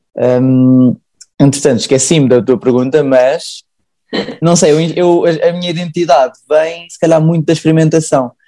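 In a Lisbon accent, the speaker uses a dark, mellow tone and fairly even intonation at a moderate pace, with big swings in loudness. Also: man, fairly high pitch for a man. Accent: European Portuguese, Lisbon area. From Portugal, Sintra. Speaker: painter and engineering graduate. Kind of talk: casual interview.

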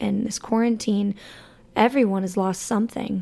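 A woman with a Southern US accent speaks at a fairly high pitch with monotone, flat intonation. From Alabama. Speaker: podcast host. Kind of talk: personal monologue. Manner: casual, hesitant with many fillers.

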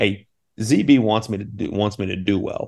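Against a quiet background, a man speaks in an ordinary speaking voice. His pitch is fairly low and his intonation fairly even. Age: 30s. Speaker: college basketball assistant coach. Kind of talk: casual interview.

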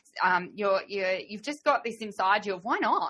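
Speaking at a moderate pace, a woman with an Australian accent uses a medium pitch. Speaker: podcast host and riding trainer. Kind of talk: interview conversation. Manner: animated.

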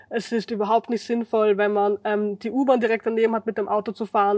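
A woman talks at a fairly quick pace with a fairly high pitch. Her sound is dry and close, with no echo. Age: 20s. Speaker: climate activist. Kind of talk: casual chat.

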